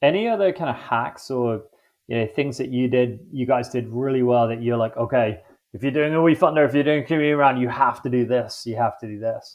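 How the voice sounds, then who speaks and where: A man with an English accent speaks at a medium pitch. His pace is fairly quick, with ordinary pitch variation. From London, England. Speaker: podcast host. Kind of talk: interview conversation. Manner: casual, filler-heavy.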